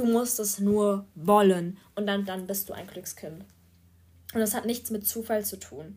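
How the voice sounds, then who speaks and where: Somewhat breathy and medium in pitch, a woman's voice moves at a very slow pace. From Germany, small rural town. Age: 20s. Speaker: podcaster, student. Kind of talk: casual monologue. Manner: hesitant, many fillers.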